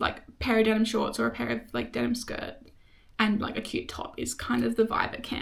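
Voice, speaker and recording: This woman speaks with an Australian accent. Her pace is fairly quick. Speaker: vlogger. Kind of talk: casual chat. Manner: fast; animated.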